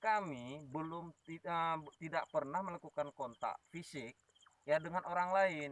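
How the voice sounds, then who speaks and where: A man speaks with an Aceh accent at a fairly high pitch. His pitch varies in an ordinary way, and the sound is dry and close with no echo. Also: fairly slow pace. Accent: Acehnese-accented Indonesian. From Aceh, Indonesia. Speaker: ghost-hunting YouTuber. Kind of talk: live stream chat. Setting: outdoors at old radio tower at night.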